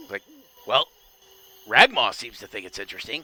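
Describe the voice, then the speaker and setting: A man talks at a fairly quick pace in a put-on character voice, his pitch fairly high. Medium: actual play.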